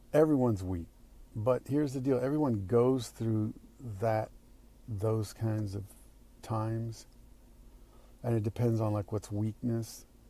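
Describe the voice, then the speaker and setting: A man's somewhat breathy voice with a dark, mellow tone and long, frequent pauses. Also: medium pitch for a man, fairly even intonation. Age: 60s. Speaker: actor. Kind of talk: recorded personal video message answering questions. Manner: halting.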